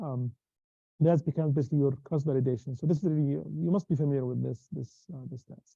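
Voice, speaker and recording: A man's fairly high, somewhat breathy voice with a dark, mellow tone, ordinary pitch variation and a very fast pace, in a dry, close sound with no echo. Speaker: university lecturer. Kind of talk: lecture. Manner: halting.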